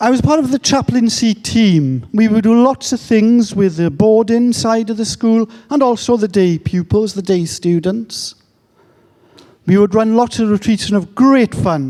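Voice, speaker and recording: This man has a high pitch and a dark, mellow tone. He talks at a fairly slow pace with ordinary pitch variation. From England. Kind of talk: conference talk. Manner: animated.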